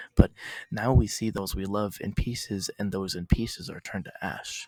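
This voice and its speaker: A man whispering, with a dry, close sound and no echo. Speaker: poet. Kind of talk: slam poetry performance.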